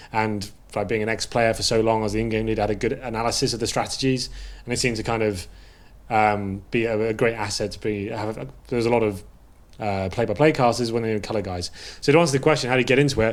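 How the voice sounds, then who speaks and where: A man with an English accent talks at a very fast pace with ordinary pitch variation. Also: medium pitch for a man. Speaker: esports caster and analyst. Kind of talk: casual chat.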